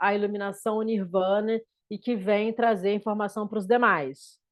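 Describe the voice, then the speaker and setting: This woman has a medium pitch and fairly even intonation. She talks at a fairly slow pace. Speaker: spiritual teacher. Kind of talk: lecture. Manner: halting.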